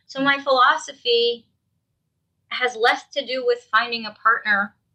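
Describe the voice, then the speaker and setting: A woman speaks at a moderate pace with a South Jersey accent. Her tone is bright and sharp, with a fairly high pitch. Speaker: dating coach. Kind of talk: podcast interview. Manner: direct.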